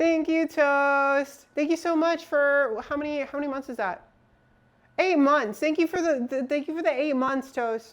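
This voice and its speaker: A loud, high-pitched woman's voice at a moderate pace, with ordinary pitch variation. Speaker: streamer. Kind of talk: casual live stream chat while building a PC. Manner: halting, many fillers.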